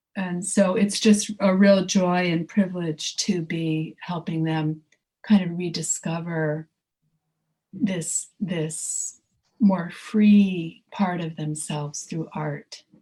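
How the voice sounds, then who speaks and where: A woman speaks at a very slow pace in a fairly low pitch, her dark, mellow tone somewhat breathy, with fairly even intonation and big swings in loudness. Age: 60s. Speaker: artist and creativity teacher. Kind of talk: casual chat. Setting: podcast.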